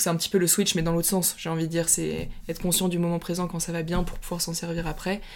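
Her fairly low voice flat and monotone, a woman talks at a very fast pace with hardly any pauses. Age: 20s. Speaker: golfer and speed golfer. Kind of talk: interview. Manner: hesitant, many fillers.

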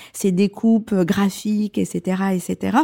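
Recorded with a dry, close sound and no echo, a woman speaks at a medium pitch in a dark, mellow tone. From Comoros, then Marseille from childhood. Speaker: fashion designer. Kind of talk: casual interview. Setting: her living room at home.

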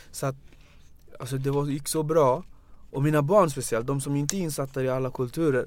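The delivery moves at a fairly quick pace. It is broken up by long, frequent pauses. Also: man, fairly high pitch for a man. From Gambia. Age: 30s. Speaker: youth organisation founder. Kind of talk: casual interview.

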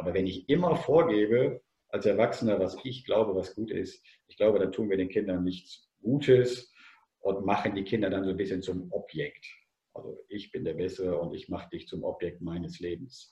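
Somewhat breathy with a dark, mellow tone, a man at fairly low pitch moves at a moderate pace with lively intonation. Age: 50s. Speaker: former teacher and tennis coach. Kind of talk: podcast interview.

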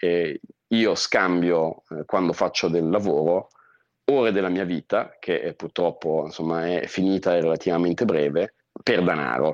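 Recorded dry and close with no echo, a man with a very deep, low voice speaks at a fairly slow pace with ordinary pitch variation. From northern Italy, Lake Como. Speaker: expat professional. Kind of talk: interview.

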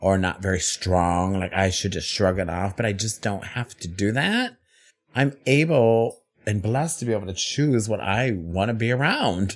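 A man speaks at a moderate pace with a fairly low pitch. His pitch varies in an ordinary way, and he has an ordinary speaking voice. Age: 40s. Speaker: drag performer and podcast co-host. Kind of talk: casual chat.

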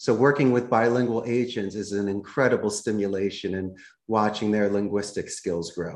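A man talks in a Philadelphia accent with a fairly low pitch. His intonation stays fairly even. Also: moderate pace. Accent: Philadelphia American. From US Northeast, Philadelphia. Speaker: call center CEO. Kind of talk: podcast interview.

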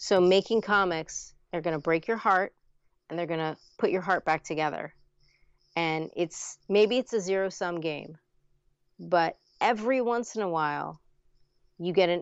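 Taking long, frequent pauses, a woman talks at a moderate pace in a fairly low pitch with ordinary pitch variation. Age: 40s. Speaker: comic book writer. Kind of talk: casual chat. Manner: relaxed, hesitant with fillers.

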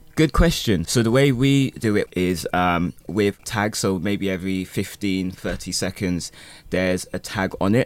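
In a very clean recording with a silent background, a normal speaking voice is heard with ordinary pitch variation. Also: man, fairly low pitch for a man, fairly slow pace. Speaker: beat maker and music producer. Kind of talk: casual interview.

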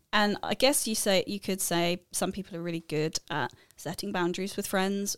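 At a moderate pace and medium pitch, a woman with an ordinary speaking voice comes through in a dry, close sound with no echo. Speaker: podcast co-host. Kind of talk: casual interview conversation.

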